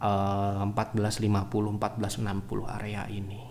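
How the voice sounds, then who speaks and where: A soft-spoken man talks with a fairly low pitch. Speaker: stock market analyst. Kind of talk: livestream market analysis. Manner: halting.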